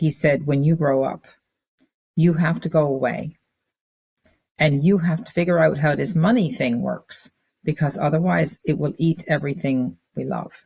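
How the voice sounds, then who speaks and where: A woman with a very deep, low pitch and a dark, mellow tone speaks at a moderate pace with ordinary pitch variation, vocal fry, and long, frequent pauses. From Newfoundland, Fogo Island. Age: 60s. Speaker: business leader and community founder. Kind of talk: interview.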